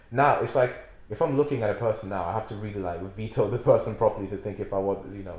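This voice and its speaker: A somewhat breathy male voice, fairly low in pitch, at a very fast pace, with ordinary pitch variation and big swings in loudness. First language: not English. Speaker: podcast co-host. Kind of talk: casual chat.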